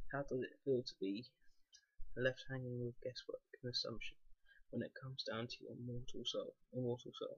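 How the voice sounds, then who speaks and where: A soft-spoken man talks at a moderate pace. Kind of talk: book reading.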